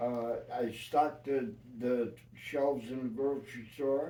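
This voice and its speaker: Amid audible room echo, a man with a New York accent speaks at a medium pitch with a dark, mellow tone. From New York City. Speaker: retired union carpenter. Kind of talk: life-story interview. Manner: halting.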